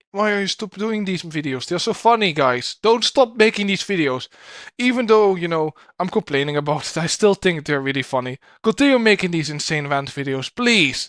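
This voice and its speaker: Over a very clean, silent background, a man with a Dutch accent speaks in a high voice with lively intonation and a dry, close sound with no echo. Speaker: streamer reacting to videos. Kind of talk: live stream reaction commentary. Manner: stutters a little; fast.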